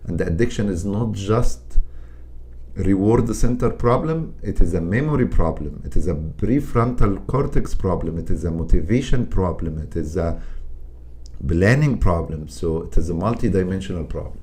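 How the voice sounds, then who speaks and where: The voice has a dark, mellow tone with vocal fry and very wide pitch swings, in a non-native accent. It moves at a moderate pace with audible room echo. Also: man, very deep, low pitch for a man. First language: not English. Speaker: psychiatrist. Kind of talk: interview. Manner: halting.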